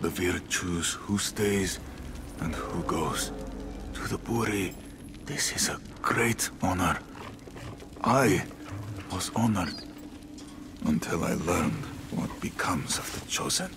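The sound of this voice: Over clear background music, a man uses a put-on character voice with low pitch, vocal fry and ordinary pitch variation, speaking at a slow pace with long, frequent pauses.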